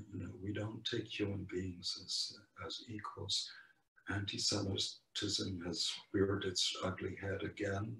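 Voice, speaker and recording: With audible room echo around him, a man talks at a fairly slow pace. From Poland. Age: 80s+. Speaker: Holocaust survivor speaker. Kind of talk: testimony. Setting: video call. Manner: halting.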